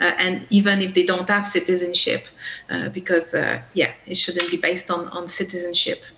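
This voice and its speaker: Noticeable background noise sits under a woman speaking at medium pitch and a moderate pace in a monotone, flat intonation. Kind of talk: panel discussion. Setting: video call.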